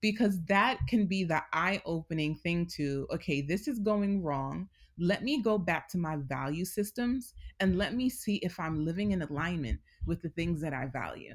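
Somewhat breathy and fairly low in pitch, a woman speaks at a moderate pace with lively intonation on a very clean recording with a silent background. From New York City, Queens. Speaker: therapist and wellness coach. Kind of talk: interview.

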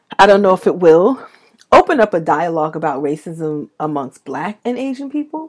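Her pitch fairly low, a woman talks at a moderate pace with very wide pitch swings and big swings in loudness. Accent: New York. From New York City (Brooklyn). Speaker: podcast co-host. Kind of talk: casual chat.

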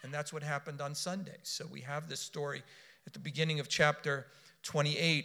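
At a fairly quick pace, a man with an American accent and a fairly high pitch speaks in a bright, sharp tone with monotone, flat intonation. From US South, South Florida. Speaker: preacher. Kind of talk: sermon.

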